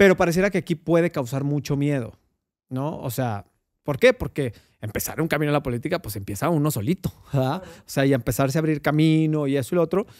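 Against a quiet background, a man speaks with a Mexican accent. His pace is very fast. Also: lively intonation. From Mexico. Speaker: podcast host. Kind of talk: interview. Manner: halting. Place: studio. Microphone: studio mic.

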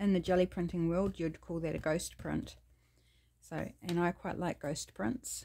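A woman with a New Zealand accent, at a fairly slow pace. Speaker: craft YouTuber. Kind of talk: crafting tutorial. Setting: home craft studio. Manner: casual and chatty.

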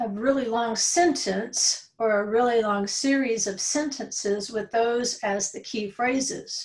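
Somewhat breathy, a woman talks at a very slow pace. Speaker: religious study teacher. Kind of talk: lecture. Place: home room. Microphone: webcam.

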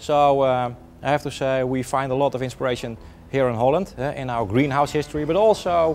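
Male speech at a moderate pace with ordinary pitch variation, clear music in the background. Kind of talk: tour guide explanation.

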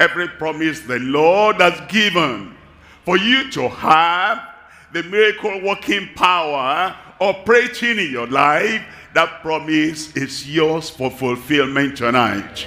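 A man's lively intonation at a very slow pace. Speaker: preacher. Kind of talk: sermon. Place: stage.

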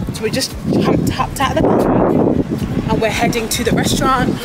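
Amid loud background noise, a woman speaks at a moderate pace. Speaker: travel vlogger. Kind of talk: casual vlog chat. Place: street. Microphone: phone near.

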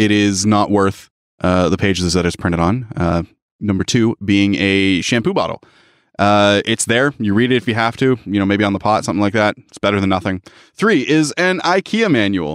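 An unremarkable speaking voice from a man, fairly low in pitch with ordinary pitch variation, at a moderate pace, dry and close with no echo. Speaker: podcast co-host. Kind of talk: casual chat.

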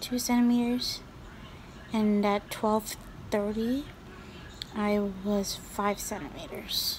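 A woman talks at a very slow pace with fairly even intonation against noticeable background noise. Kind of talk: casual vlog chat. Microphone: phone near.

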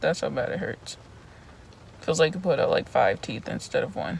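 A woman is heard over light background noise, recorded dry with no echo. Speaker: vlogger. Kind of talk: casual vlog chat. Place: car. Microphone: phone near.

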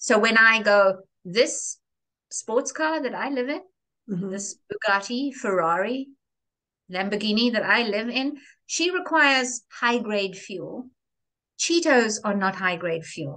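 Her pitch fairly high, a woman speaks with lively intonation, broken by long, frequent pauses. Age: 60s. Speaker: reinvention coach; interview guest. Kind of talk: interview. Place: home room. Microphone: video call.

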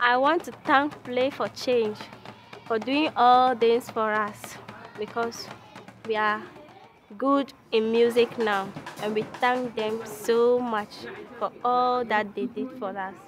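A woman with a Ghanaian accent, fairly high pitch and fairly even intonation, at a very slow pace with long, frequent pauses, in a dry sound with no echo and clear music in the background. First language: not English. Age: young. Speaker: music and dance student. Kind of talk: interview answer. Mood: grateful, cheerful. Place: street.

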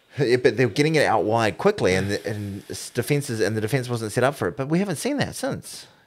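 A man talks with a New Zealand accent at a fairly quick pace. His intonation is lively. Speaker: sports podcast co-host. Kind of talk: casual chat. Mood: relaxed, joking. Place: studio. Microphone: studio mic.

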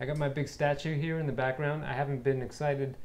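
The pace here is fairly quick. It is a man who speaks. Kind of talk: casual vlog chat. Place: home room. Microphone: phone near.

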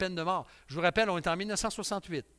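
A man's raised, projected voice, high in pitch with a bright, sharp tone, at a fairly slow pace against a quiet background. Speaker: pastor. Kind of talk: sermon. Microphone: headset.

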